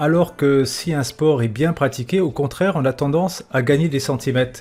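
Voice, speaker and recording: Delivered at a moderate pace with ordinary pitch variation, this is a normal speaking voice. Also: man. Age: 50s. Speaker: podcast host. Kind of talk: interview. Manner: casual, joking.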